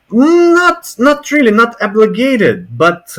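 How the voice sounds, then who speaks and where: A man speaks at a very slow pace. He has a Russian accent. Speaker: language learner. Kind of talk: casual conversation practice. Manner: halting.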